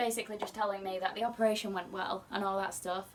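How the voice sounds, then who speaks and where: A woman with a British accent speaks quietly at a medium pitch in a flat, monotone way. Background noise is noticeable. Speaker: singer. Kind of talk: casual talk to camera.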